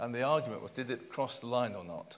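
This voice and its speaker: Speaking at a fairly quick pace with a British accent, a man keeps a medium pitch and ordinary pitch variation amid noticeable background noise and audible room echo. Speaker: real estate consultant panellist. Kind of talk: conference panel discussion.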